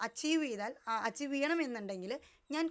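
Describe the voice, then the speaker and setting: A woman talks in a normal speaking voice. Her intonation is lively. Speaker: lifestyle vlogger. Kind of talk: motivational talk to camera.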